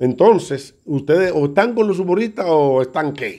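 A man with a Dominican accent, a fairly high pitch, ordinary pitch variation and a dark, mellow tone, against a quiet background. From Dominican Republic, Santo Domingo. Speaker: comedian. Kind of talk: video statement. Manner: halting. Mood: indignant, accusing. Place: home room. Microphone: phone near.

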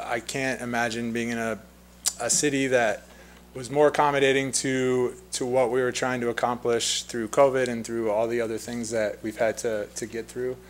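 A man's flat, monotone delivery at a moderate pace. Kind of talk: public comment address. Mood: friendly, grateful. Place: hall. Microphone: podium.

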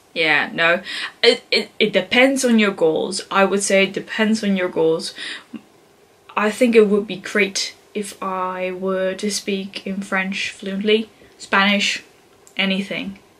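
A woman at a very slow pace, her intonation fairly even. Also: medium pitch for a woman. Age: 20s. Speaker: English teacher student and language learner. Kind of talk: casual talk to camera. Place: home room. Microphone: camera far.

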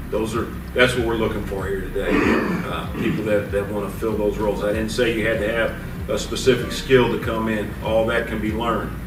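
A man at a fairly quick pace, little pitch movement, clear background noise behind him

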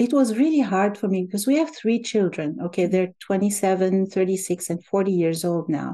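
Lively intonation over a dark, mellow tone. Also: woman. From Algeria. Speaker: language teacher. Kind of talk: interview conversation.

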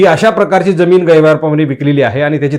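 A man speaks with a fairly high pitch. It is a plain, everyday voice. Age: young. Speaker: news commentator. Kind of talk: political news commentary.

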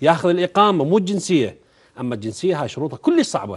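Fairly quick male speech with very wide pitch swings against a quiet background. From Iraq. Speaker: member of parliament; guest. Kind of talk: heated debate. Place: studio. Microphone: lapel.

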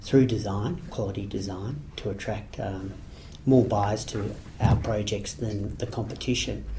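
With an Australian accent, a man speaks in a fairly low, dark, mellow voice. It is somewhat breathy, with fairly even intonation. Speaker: property project marketer. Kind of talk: interview. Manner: halting.

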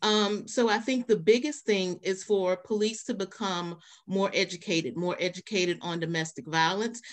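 A woman speaks at a moderate pace with hardly any pauses and ordinary pitch variation against a quiet background. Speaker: domestic violence agency advocate. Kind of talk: panel discussion. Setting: online webinar, video call. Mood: earnest, thoughtful. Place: home room.

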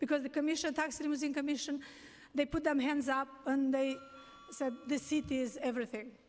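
Faint music plays in the background as a woman speaks at a high pitch with fairly even intonation. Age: 60s. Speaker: taxi medallion owner testifying at a hearing. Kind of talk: public testimony. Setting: city council hearing. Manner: halting. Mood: distressed, pleading. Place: hall. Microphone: podium.

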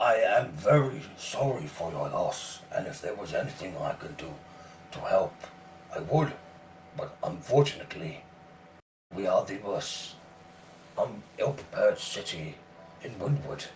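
A man uses a raspy put-on character voice. He leaves long, frequent pauses. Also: moderate pace. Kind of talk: formal, dignified speech. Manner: apologetic, courteous, regretful.

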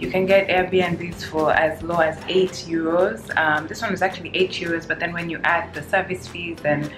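With music in the background, a woman talks at a moderate pace and a fairly low pitch. Her intonation is fairly even, with hardly any pauses. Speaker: travel vlogger. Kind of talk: casual vlog chat. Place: home room. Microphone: phone near.

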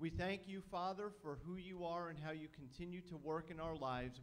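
The pitch shows ordinary variation. A man delivers the words at a moderate pace. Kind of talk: welcome and prayer. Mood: warm, reverent. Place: church. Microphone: handheld.

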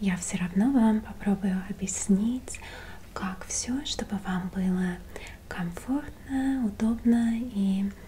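Soft-spoken with a gentle tone, a woman talks with ordinary pitch variation over light background noise. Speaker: role-play host. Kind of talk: soft-spoken role-play talk to viewer. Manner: soft, gentle ASMR speaking voice. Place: home room.

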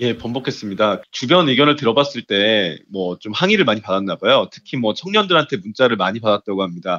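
With a normal speaking voice at medium pitch, a man talks at a fairly quick pace with lively intonation and hardly any pauses. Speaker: newspaper reporter. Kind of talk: political news discussion.

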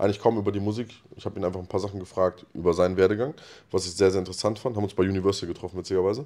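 At a very fast pace, the voice has a dark, mellow tone and fairly even intonation. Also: man, fairly low pitch for a man. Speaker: rapper; podcast host or guest. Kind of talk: casual chat. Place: studio. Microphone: handheld.

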